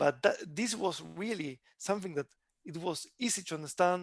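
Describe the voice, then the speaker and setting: Lively intonation colors this speech, delivered at a fairly slow pace with an Argentine accent. The sound is dry and close, with no echo. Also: man. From Argentina. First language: Spanish. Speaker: tech company CEO. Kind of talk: interview. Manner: halting.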